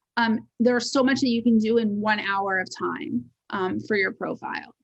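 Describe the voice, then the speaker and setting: A woman speaks at a moderate pace and sounds somewhat breathy. Her intonation is fairly even. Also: fairly high pitch for a woman. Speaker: resume writer and personal brand strategist. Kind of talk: webinar presentation. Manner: occasionally fumbling over words.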